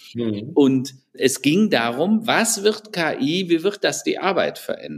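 The speaker is a man. He talks very slowly, his pitch swinging very widely. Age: 60s. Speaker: IT strategy consultant and author. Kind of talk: interview. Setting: video call.

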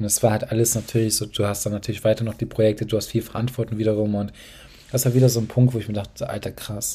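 A man talks at a very fast pace in a medium pitch, his somewhat breathy voice dark and mellow with flat, monotone intonation. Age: 20s. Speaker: podcast host, young entrepreneur. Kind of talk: solo podcast monologue. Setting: home office at desk.

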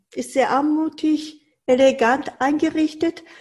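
A woman speaks very slowly in a dark, mellow tone. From Japan, Tokyo. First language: Japanese (speaking German). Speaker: Japanese cooking teacher. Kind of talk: interview.

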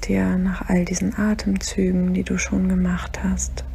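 The voice has a calm, soothing tone, with noticeable background noise. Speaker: meditation guide. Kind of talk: guided meditation. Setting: solo recording, podcast episode. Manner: slow, calm, soothing; gentle, unhurried, counting breaths aloud.

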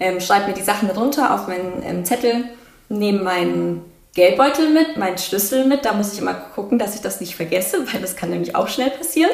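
A woman speaks at a fairly quick pace in a medium pitch with lively intonation, with audible room echo and noticeable background noise. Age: 20s. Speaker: psychology graduate and mental health educator. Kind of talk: casual interview.

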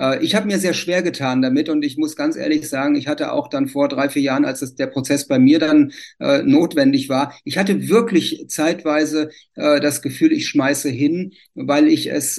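A man with an unremarkable speaking voice keeps a moderate pace, and his pitch varies in an ordinary way. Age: 60s. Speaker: civil engineer, renovation association. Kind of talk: interview.

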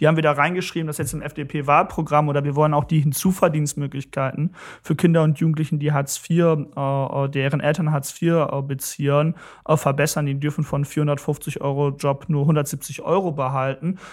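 In a very clean recording with a silent background, a man with a fairly high pitch speaks in a monotone, flat intonation at a moderate pace. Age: 20s. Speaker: young politician. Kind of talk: interview.

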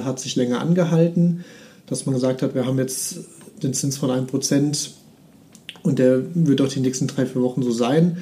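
A man with a fairly high-pitched voice talks in a fairly even tone over noticeable background noise. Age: 30s. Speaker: mortgage finance advisor. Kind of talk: podcast interview.

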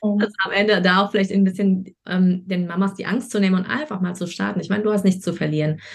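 An ordinary speaking voice from a woman at a medium pitch, fairly quick in pace, with fairly even intonation. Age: 30s. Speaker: online marketing coach. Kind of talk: interview.

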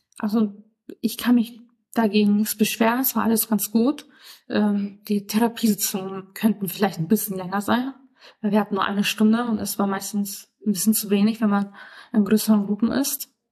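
A woman speaks at a moderate pace in a somewhat breathy voice with a dark, mellow tone. Her intonation stays monotone and flat. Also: medium pitch for a woman. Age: 20s. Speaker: podcast guest living with mental illness, trainee florist. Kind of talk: interview.

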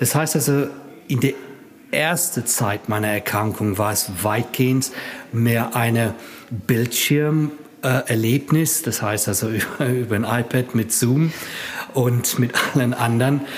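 A man talks at a medium pitch and a very slow pace, with ordinary pitch variation. Long pauses come often, and background noise is noticeable. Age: 50s. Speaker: patient with myasthenia, support group member. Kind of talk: interview. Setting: support group meeting. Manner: halting.

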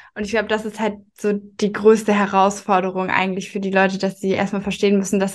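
Against a quiet background, a woman talks at a fairly quick pace in a monotone, flat intonation. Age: 20s. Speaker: marketing manager. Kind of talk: interview.

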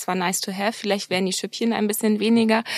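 A woman talks at a medium pitch in a monotone, flat intonation. The sound is dry and close, with no echo. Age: 30s. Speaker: medical cosmetician. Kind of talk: interview.

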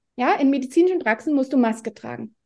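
A woman's high-pitched voice with a dark, mellow tone, very wide pitch swings, and a very fast pace. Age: 50s. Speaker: osteopath and family therapist. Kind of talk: casual interview.

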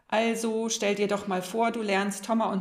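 Speech at a moderate pace rings with audible room echo. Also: woman. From northern Germany. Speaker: podcast co-host. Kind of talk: podcast interview.

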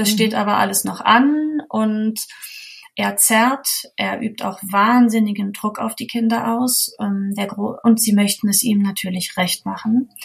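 Her pitch is fairly high and her voice somewhat breathy. This woman talks at a fairly slow pace. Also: fairly even intonation. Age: 30s. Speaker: mother sharing her experience. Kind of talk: interview testimony.

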